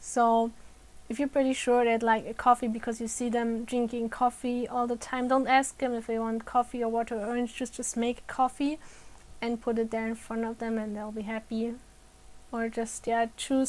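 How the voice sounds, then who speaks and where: A woman with a non-native accent, a fairly high pitch and monotone, flat intonation. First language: non-native English speaker. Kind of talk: educational talk to camera. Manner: slow.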